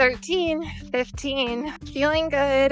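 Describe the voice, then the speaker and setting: A woman's high-pitched voice over music in the background. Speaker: fitness vlogger. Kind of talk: casual vlog talk to camera. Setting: outdoors on a run. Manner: whispering.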